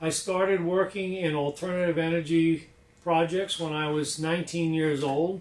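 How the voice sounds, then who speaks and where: Over noticeable background noise, a man talks at a moderate pace in a high-pitched, monotone, flat voice. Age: 60s. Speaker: inventor. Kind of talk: demonstration presentation. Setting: lab.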